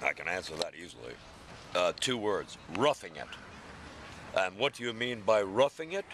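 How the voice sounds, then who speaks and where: At a moderate pace broken by long, frequent pauses, a man talks with lively intonation at a medium pitch. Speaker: homeless man. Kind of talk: interview answer. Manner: gruff, blunt.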